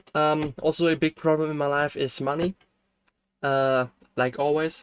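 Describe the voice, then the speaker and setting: This voice comes with a German accent. It moves along at a rather unhurried pace. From Germany. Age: 20s. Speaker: game developer streamer. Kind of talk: casual chat. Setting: live stream. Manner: halting.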